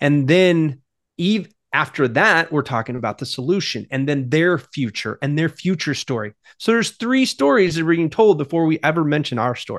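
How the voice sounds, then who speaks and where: A man with a normal speaking voice, fairly high pitched and lively in intonation, at a moderate pace, with a dry, close sound, no echo and a quiet background. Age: 40s. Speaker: marketing agency president and author. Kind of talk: podcast interview.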